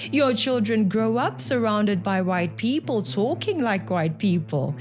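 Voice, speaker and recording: A woman's medium-pitched voice at a fairly slow pace, with very wide pitch swings, very even loudness and noticeable background noise. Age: young. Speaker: political commentator YouTuber. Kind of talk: commentary rebuttal. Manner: formal.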